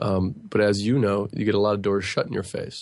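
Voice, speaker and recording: Talking at a very fast pace, this man has a fairly low voice and a monotone, flat intonation. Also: quiet background. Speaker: real estate broker. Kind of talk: radio interview. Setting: studio.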